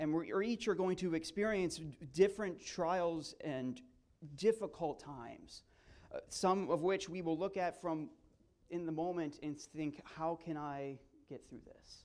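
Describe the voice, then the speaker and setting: A man's high-pitched voice at a fairly slow pace, with big swings in loudness and ordinary pitch variation. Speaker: guest preacher. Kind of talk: sermon. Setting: church.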